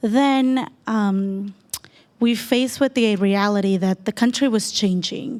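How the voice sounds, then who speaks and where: In a very clean recording with a silent background, a woman speaks with a Spanish accent, her pitch fairly high and her intonation fairly even. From El Salvador. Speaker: panel speaker. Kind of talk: personal story talk.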